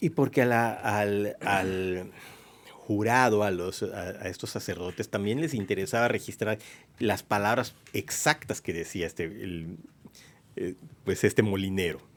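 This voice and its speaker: A man's unremarkable speaking voice, fairly low in pitch, with ordinary pitch variation and a fairly slow pace. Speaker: radio host, historian. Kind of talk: radio podcast conversation about history. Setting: radio booth studio.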